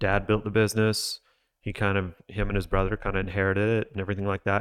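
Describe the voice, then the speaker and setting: Fairly low-pitched and with an unremarkable speaking voice, this man talks at a fairly quick pace. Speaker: podcast host. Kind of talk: casual interview chat.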